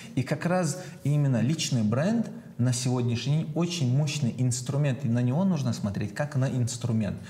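An unremarkable speaking voice belongs to a man who talks at medium pitch and a moderate pace with lively intonation. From Chechnya. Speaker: entrepreneur, personal brand marketer. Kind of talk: casual chat.

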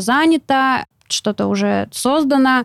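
A woman's high-pitched voice, dry and close with no echo. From Siberia, Novosibirsk. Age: 20s. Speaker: entrepreneur and blogger. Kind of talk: interview.

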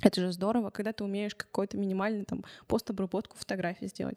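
A woman with a dark, mellow tone and medium pitch speaks with fairly even intonation in a very clean recording that has a silent background and a dry, close sound with no echo. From Russia, Chelyabinsk. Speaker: journalism lecturer and youth media project leader. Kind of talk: interview. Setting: recording studio.

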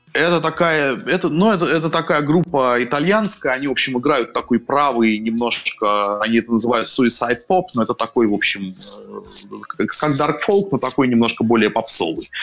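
A man's lively intonation at very even loudness, over noticeable background noise. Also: medium pitch for a man, moderate pace. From Russia, Saint Petersburg. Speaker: writer and columnist. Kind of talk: casual interview chat.

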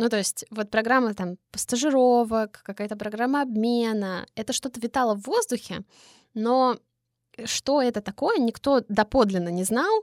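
In a very clean recording with a silent background, the sound is dry and close with no echo. A woman speaks at a fairly high pitch and moderate pace, with ordinary pitch variation. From Voronezh, Russia. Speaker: podcast host. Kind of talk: casual interview chat. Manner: animated, informal.

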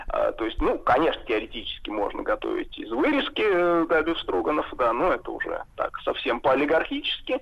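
Moderate-paced male speech, hardly any pauses, noticeable background noise underneath. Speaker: food historian. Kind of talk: casual chat.

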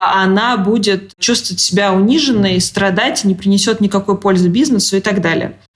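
A woman with an unremarkable speaking voice talks at a moderate pace, medium pitch and ordinary pitch variation. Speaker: magazine editor-in-chief. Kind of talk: interview.

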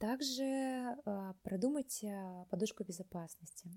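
A woman speaks at medium pitch with lively intonation. Her tone is dark and mellow, and somewhat breathy. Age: 20s. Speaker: artist. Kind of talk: personal story.

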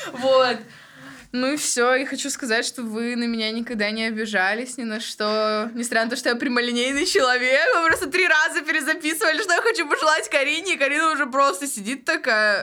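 With noticeable background noise behind her, a woman talks at a fairly quick pace in a raised, projected voice pitched high. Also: lively intonation. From Tyumen region, Russia. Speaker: podcast co-host. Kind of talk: casual chat.

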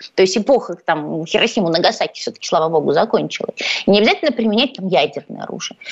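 Lively intonation marks this woman's medium-pitched voice. She speaks very fast over noticeable background noise. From Ukraine, Odesa. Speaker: journalist. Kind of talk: radio interview. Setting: studio.

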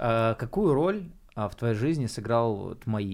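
Lively intonation from a man at medium pitch, delivered at a very slow pace. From Bryansk region, Russia. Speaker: podcast host. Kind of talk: casual chat.

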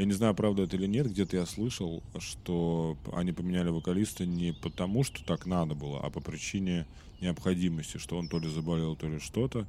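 A man with a very deep, low pitch and a dark, mellow tone talks fairly quickly with ordinary pitch variation. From Russia. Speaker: podcast host. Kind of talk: casual monologue. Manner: casual, hesitant fillers.

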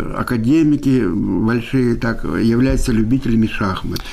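A man's medium-pitched voice carries audible room echo, with noticeable background noise also present. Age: 70s. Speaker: chess coach. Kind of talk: interview.

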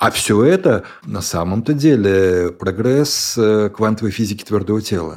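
A man with an unremarkable speaking voice talks at a fairly slow pace and fairly low pitch, with lively intonation. The recording is very clean, and the background is silent. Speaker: tech company executive. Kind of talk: interview.

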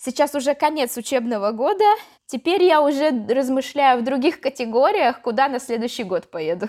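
Her intonation is lively. The woman speaks at a moderate pace. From Yaroslavl, central Russia. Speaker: teacher of Russian as a foreign language. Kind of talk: interview.

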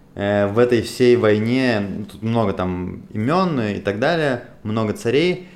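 In a room with audible echo, a man of medium pitch talks at a very slow pace with hardly any pauses, lively intonation and big swings in loudness. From Russia, Moscow. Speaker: podcast host. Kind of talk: casual discussion.

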